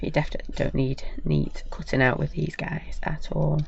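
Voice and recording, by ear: A woman with a low, croaky voice and vocal fry speaks at a fairly quick pace with fairly even intonation.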